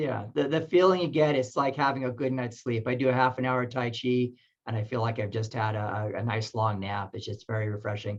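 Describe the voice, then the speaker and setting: A man talks at a fairly quick pace. His medium pitch shows ordinary variation. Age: 50s. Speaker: tai chi researcher and author. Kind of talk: webinar interview. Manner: halting, many fillers.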